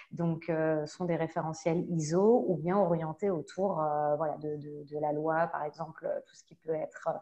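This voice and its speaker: A woman's fairly low, dark, mellow voice at a fairly slow pace, with fairly even intonation. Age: 30s. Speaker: data protection and security consultant. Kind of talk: online panel discussion.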